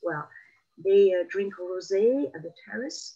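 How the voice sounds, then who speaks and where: A woman's voice at a medium pitch. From southern France (Marseille, Provence). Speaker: guest speaker on Provence. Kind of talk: interview conversation. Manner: hesitant, many fillers.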